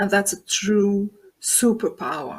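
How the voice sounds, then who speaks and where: A woman with a non-native accent speaks at a medium pitch on a very clean recording with a silent background. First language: not English. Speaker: transformation coach. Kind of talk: interview. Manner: halting, with fillers.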